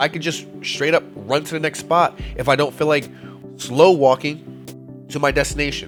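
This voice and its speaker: A man is speaking. Music plays in the background. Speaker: gaming video creator. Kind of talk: casual game tips talk to viewers. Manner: casual, conversational.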